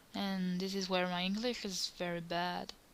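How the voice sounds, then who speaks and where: In a French accent, a woman with a medium-pitched voice speaks at a fairly slow pace. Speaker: cosplayer. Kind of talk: tutorial. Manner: halting.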